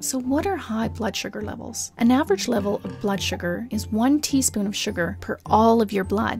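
Over music in the background, a woman talks at a moderate pace with hardly any pauses. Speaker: voice-over narrator. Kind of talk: animated explainer narration.

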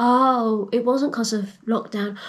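A high-pitched woman speaks with fairly even intonation. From England. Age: 40s. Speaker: vlogger, airport security manager. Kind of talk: personal vlog, health story. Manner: hesitant, many ums. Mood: earnest, hopeful. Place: home room. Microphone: phone near.

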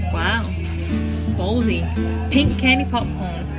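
A woman talking at a fairly slow pace over loud music in the background. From England. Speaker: vlogger. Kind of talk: casual vlog talk with friends. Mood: excited, nostalgic. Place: shop. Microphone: phone near.

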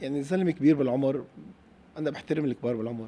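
The voice has a dark, mellow tone and is heard in a Lebanese accent. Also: man. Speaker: football club president. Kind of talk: interview.

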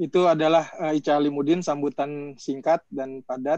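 A man at a fairly slow pace, fairly even intonation, dry sound with no echo, quiet background. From Indonesia. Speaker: moderator. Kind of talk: moderating a webinar. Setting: video call. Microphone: video call.

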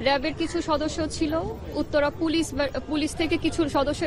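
Crowd noise fills the background. The sound itself is dry, with no echo. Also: woman. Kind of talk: press briefing. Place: open country. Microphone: handheld.

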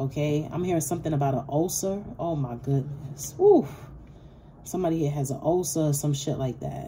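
A woman with a very deep, low pitch talks over noticeable background noise. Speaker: tarot reader. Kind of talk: casual tarot reading monologue. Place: home room. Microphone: phone near.

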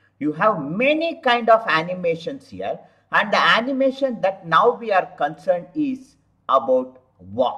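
A high-pitched man's voice with very wide pitch swings, over a quiet background. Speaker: software tutorial instructor. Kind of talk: tutorial. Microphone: webcam.

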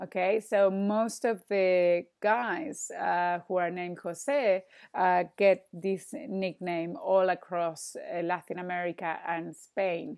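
A woman in a Spanish accent, medium pitch, very slow pace, ordinary pitch variation, quiet background. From Argentina. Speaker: Spanish teacher. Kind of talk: online language lesson. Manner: hesitant, many fillers. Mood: friendly, relaxed. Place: home room. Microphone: earbuds.

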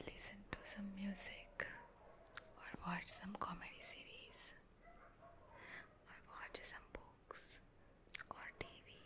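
A soft-spoken woman talks at a very slow pace. Loud background noise surrounds her voice. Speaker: relaxation video host. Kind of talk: soothing personal attention talk, Hindi-English mix. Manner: soft, hushed ASMR voice. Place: home room. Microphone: studio mic.

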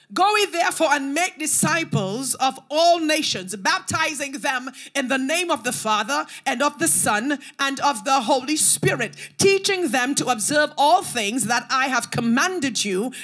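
Over music in the background, a woman talks at a moderate pace and a high pitch. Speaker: preacher. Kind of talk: sermon. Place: church. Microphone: handheld.

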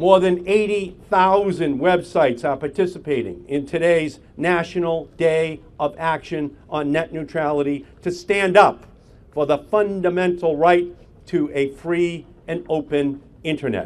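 Fairly slow and with fairly even intonation, a man speaks at a high pitch. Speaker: politician at a press conference. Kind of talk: speech. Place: street. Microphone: podium.

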